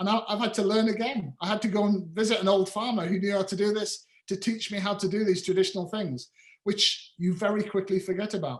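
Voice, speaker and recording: An animated tone drives the speech at a very fast pace. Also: man, high pitch for a man. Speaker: farmer. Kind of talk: lecture. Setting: video call.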